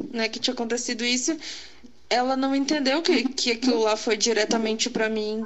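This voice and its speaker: Noticeable background noise sits under a woman's fairly high-pitched voice as she talks at a moderate pace with fairly even intonation. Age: 20s. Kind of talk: testimony.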